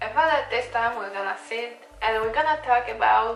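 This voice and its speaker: A woman talks with a Polish accent and ordinary pitch variation. Music plays in the background. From Poland. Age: 20s. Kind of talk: casual talk to camera. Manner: lengthens the ends of sentences.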